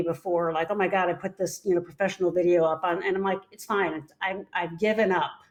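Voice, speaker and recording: A woman speaks at a fairly quick pace in an unremarkable speaking voice, her medium pitch held to fairly even intonation. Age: 60s. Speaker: psychologist and podcast co-host. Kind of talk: casual chat.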